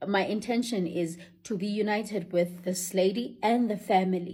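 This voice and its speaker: A woman speaks with a dark, mellow tone. Her voice is somewhat breathy, with fairly even intonation. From Africa. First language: African language, not English. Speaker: vlogger. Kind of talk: casual monologue to camera.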